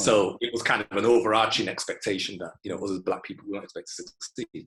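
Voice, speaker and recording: With a Manchester accent, a man talks at a very fast pace with big swings in loudness. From Manchester, England. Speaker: IT specialist and music historian. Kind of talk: interview answer.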